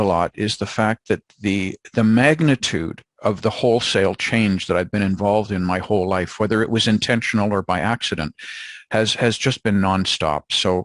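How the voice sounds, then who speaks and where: In a Canadian accent, a man speaks at a moderate pace and fairly low pitch, with a quiet background and a dry, close sound with no echo. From Canada. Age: 60s. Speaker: organizational change management consultant. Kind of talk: podcast interview. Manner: hesitant, many fillers.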